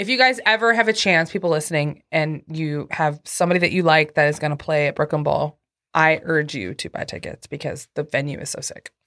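Against a quiet background, a woman with a very deep, low pitch talks at a fairly quick pace with hardly any pauses, lively intonation and big swings in loudness. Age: 30s. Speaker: podcast host. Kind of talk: casual chat.

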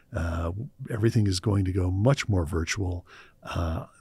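A man's very deep, low, somewhat breathy voice with a Midwestern American accent, at a moderate pace with ordinary pitch variation, in a very clean recording with a silent background. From Cleveland, Ohio, US Midwest. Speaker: meditation trainer and artist. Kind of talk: casual interview chat. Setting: studio.

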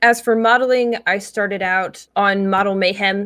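With an American accent, a woman has an unremarkable speaking voice at medium pitch, speaking fairly slowly with ordinary pitch variation in a very clean recording with a silent background. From South Jersey, US. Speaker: model and cosplayer. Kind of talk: casual interview.

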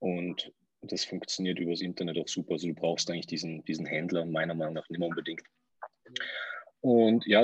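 A man speaks fairly quickly with a very deep, low pitch. The sound is dry and close, with no echo. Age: 30s. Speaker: entrepreneur. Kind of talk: interview.

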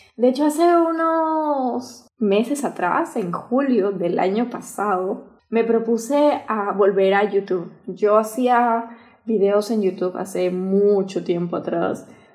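A woman speaks at a very slow pace with lively intonation. Her pitch sits fairly high. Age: 20s. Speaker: podcast host. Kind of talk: casual monologue. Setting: at home.

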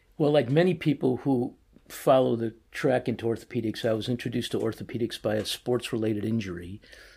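On a very clean recording with a silent background, a man with an American accent talks very fast in a dark, mellow, somewhat breathy voice of medium pitch and ordinary pitch variation. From US Midwest (Chicago). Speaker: orthopedic surgeon, department chief. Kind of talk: interview.

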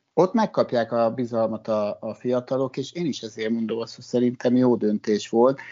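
His pitch is medium. The speaker is a man. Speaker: sports journalist. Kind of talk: casual chat. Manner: halting.

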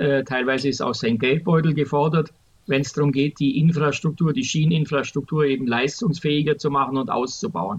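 This man's somewhat breathy voice sits at a fairly high pitch, moving at a moderate pace with ordinary pitch variation. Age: 60s. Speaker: public transport expert, retired transit executive. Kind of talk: podcast interview. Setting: remote recording.

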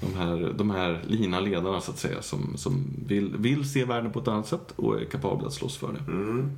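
A man with a fairly low pitch speaks at a moderate pace with very wide pitch swings and hardly any pauses. Audible room echo and noticeable background noise are present. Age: 40s. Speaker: agile coach and trainer. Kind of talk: casual chat.

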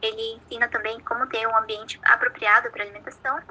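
A woman with a Brazilian accent at a fairly quick pace. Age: 20s. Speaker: nutrition student, podcast co-host. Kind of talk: scripted educational explanation.

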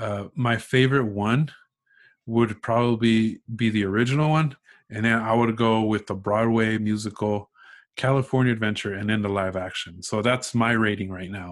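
Speaking at a moderate pace, a man uses a normal speaking voice at medium pitch with fairly even intonation. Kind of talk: casual chat. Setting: video call.

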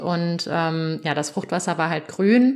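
A woman with a fairly low pitch. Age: 20s. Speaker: new mother sharing birth story. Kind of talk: interview testimony. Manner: hesitant with many fillers.

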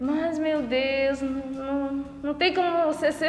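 A woman speaks at a high pitch with fairly even intonation, over noticeable background noise and with audible room echo. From rural Paraguay. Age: 20s. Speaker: novice nun. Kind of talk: interview testimony.

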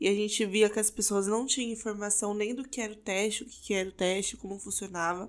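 This woman has a normal speaking voice, pitched fairly high, with ordinary pitch variation at a moderate pace. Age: 20s. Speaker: podcast co-host, pharmacy student. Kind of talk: casual chat.

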